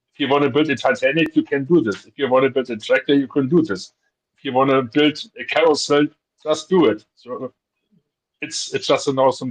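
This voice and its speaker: This man speaks at a fairly quick pace with a non-native accent, a fairly high pitch, and big swings in loudness. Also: ordinary pitch variation. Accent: foreign. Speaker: guest. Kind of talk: casual chat. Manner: halting.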